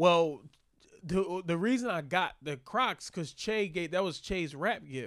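This man has a high pitch and lively intonation, talking at a fairly slow pace in a very clean recording with a silent background. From Philadelphia, US. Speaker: comedian. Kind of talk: casual chat.

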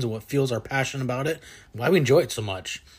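Very fast, somewhat breathy speech from a man. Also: very clean recording, silent background. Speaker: podcast host. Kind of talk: casual interview.

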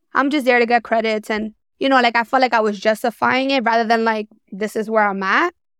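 A woman with an American accent at a very fast pace, fairly high-pitched with fairly even intonation, in a dry, close sound with no echo against a quiet background. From New York. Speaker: social work career coach. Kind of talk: interview conversation.

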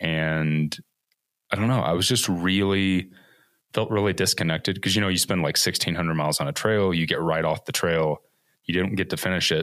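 A man with an American accent speaks at a moderate pace in a very deep, low voice, his intonation fairly even and his loudness very even. The recording is very clean, with a silent background. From US Midwest, Evansville, Indiana. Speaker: filmmaker and hiker. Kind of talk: casual interview conversation.

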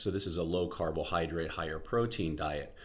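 With audible room echo, a man speaks at a moderate pace and uses ordinary pitch variation. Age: 40s. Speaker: podcast host, health and fitness educator. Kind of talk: solo educational podcast monologue.

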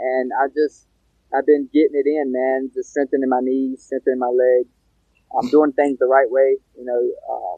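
At a moderate pace, a man with an American accent speaks at a medium pitch with monotone, flat intonation. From North Carolina, Pembroke (Lumbee). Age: 20s. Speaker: mixed martial artist. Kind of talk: interview. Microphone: audio cutting out.

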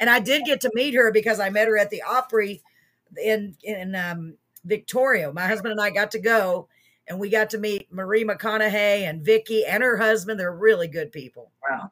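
A woman with an American accent, an animated tone, a fairly high pitch and ordinary pitch variation at a moderate pace. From Texas. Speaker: talk show host. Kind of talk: casual live-stream interview. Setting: live stream. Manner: animated, excitable.

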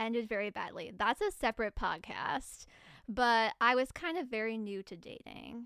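Here a woman speaks at a fairly slow pace, her fairly high voice bright and sharp in tone. The sound is dry and close with no echo, a very clean recording with a silent background. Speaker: podcast co-host. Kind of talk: casual chat. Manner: soft-spoken.

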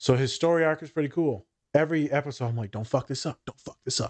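A very fast pace from a man with a fairly high voice and ordinary pitch variation. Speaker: licensed therapist. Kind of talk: casual chat. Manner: animated, joking.

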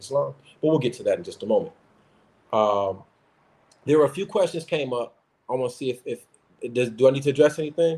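A man with an American accent talks at a very fast pace in a fairly high pitch, his dark, mellow tone somewhat breathy, with lively intonation, big swings in loudness, and long, frequent pauses. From US Midwest (Chicago). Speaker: religious community organizer and advocate. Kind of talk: interview on a call-in podcast.

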